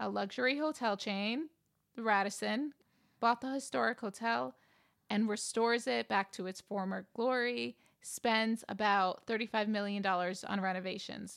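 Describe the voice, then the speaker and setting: This is an unremarkable speaking voice in an American accent, at a moderate pace with ordinary pitch variation. The background is silent on a very clean recording. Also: woman, medium pitch for a woman. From New York. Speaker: podcast co-host. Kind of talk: casual chat.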